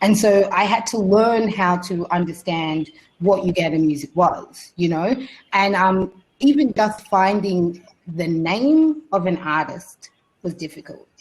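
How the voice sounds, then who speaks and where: A woman with an Australian accent, medium pitch, lively intonation and a fairly slow pace. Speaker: radio presenter and panelist. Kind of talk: webinar panel discussion. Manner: casual, halting with many fillers.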